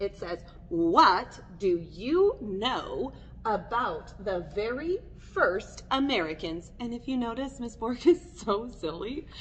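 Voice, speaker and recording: The voice sounds animated, with very wide pitch swings and noticeable background noise. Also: woman. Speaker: elementary school teacher. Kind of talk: recorded lesson for young students.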